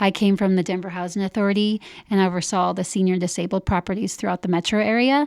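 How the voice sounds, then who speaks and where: Recorded very cleanly against a silent background, a woman speaks at a medium pitch with fairly even intonation. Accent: slight Upper Midwest. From Upper Midwest (Minnesota, North Dakota, Iowa). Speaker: senior living program director. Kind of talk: interview.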